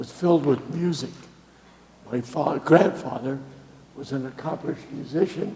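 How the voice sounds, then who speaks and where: Male voice with an American accent and ordinary pitch variation, over noticeable background noise. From Boston, New England. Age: 80s+. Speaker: guest speaker, retired musician and sailor. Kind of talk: talk to a congregation. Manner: halting, many fillers.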